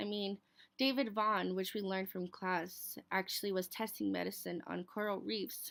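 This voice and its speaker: Her speech is moderately paced. The woman is recorded very cleanly against a silent background. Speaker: student. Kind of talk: class presentation. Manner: hesitant with fillers.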